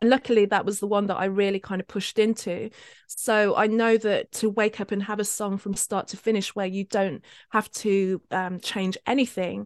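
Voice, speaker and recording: A woman at medium pitch and moderate pace, flat and monotone, dry and close with no echo, over a quiet background. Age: 50s. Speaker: spiritual life coach. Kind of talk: casual interview chat. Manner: hesitant, many fillers and laughs.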